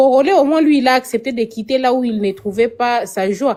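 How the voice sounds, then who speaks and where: In a Congolese accent, the speaker uses a dark, mellow tone with ordinary pitch variation at a moderate pace. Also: woman. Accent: Congolese French accent noticeable. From DR Congo, Kinshasa. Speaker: participant in a TikTok live debate. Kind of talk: casual heated debate.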